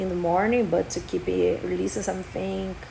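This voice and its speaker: A woman with a Portuguese accent is heard through audible room echo and noticeable background noise. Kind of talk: personal testimony vlog. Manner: halting, many fillers.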